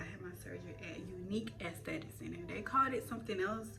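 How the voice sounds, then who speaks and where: The speech moves at a fairly quick pace, with audible room echo and music in the background. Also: woman. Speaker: beauty and lifestyle vlogger. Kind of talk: casual vlog storytelling. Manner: fast; animated.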